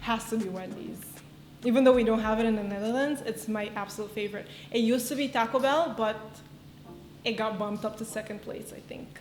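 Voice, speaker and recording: A woman speaks at a very fast pace and a fairly high pitch with ordinary pitch variation, broken by long, frequent pauses. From Aruba. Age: 20s. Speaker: content creator. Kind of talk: get-to-know-me vlog Q&A. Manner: casual, chatty.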